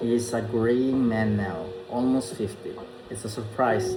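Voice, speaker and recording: A man speaks with a Filipino accent at a fairly slow pace and with fairly even intonation. Music plays in the background, and room echo is audible. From Philippines. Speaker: vlogger. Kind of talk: casual vlog talk; reading aloud. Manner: halting, many fillers.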